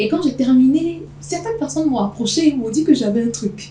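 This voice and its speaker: Against noticeable background noise, a woman speaks at a moderate pace with lively intonation. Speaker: voice actor, slam poet, master of ceremonies. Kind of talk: interview answer.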